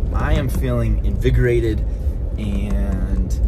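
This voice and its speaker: Over loud background noise, a man speaks. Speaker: fitness vlogger. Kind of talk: casual vlog chat. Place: car. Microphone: phone near.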